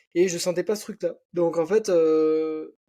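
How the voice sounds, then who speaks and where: The recording is very clean, with a silent background. A man speaks in a slight southwestern French accent, with a dark, mellow tone and fairly even intonation. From French Basque Country, near Biarritz. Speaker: entrepreneur and online fitness coach. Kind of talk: casual podcast interview. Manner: casual, many fillers.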